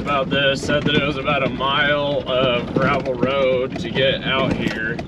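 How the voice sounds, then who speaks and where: Loud background noise fills the clip. Through it, a man speaks at a fairly slow pace. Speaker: driver vlogger. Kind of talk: casual vlog chat. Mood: wry, slightly nervous humor. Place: car. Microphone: phone near.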